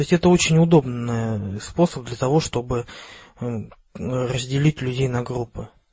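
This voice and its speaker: Long, frequent pauses break up a fairly slow delivery whose pitch varies in an ordinary way. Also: man, medium pitch for a man. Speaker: podcast co-host. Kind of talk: casual chat.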